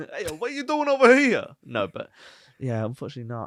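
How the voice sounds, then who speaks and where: In a Brummie accent, a man speaks at a very fast pace. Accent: Birmingham (Brummie) twang. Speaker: podcast co-host, freelancer. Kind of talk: casual chat.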